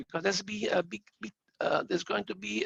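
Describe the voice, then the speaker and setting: A man speaks at a fairly quick pace with an Italian accent. The sound is dry and close, with no echo. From Italy. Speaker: audience member asking question. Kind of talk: audience question. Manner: hesitant, stammering.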